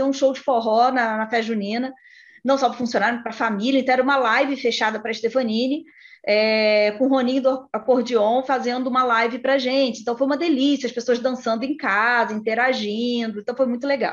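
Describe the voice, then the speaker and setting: Over a quiet background, a woman speaks very fast at a high pitch with fairly even intonation. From Brazil, interior of Rio de Janeiro state. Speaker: HR executive and psychologist. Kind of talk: interview.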